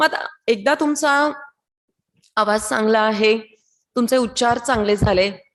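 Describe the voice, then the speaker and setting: A woman's fairly high-pitched, unremarkable speaking voice. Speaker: radio announcer. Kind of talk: training lecture.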